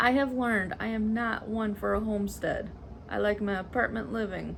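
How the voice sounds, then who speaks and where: A fairly high-pitched, somewhat breathy woman's voice with an American accent, monotone and flat, at a moderate pace with audible room echo. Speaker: cross-stitch vlogger. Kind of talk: casual chat. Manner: casual, filler words.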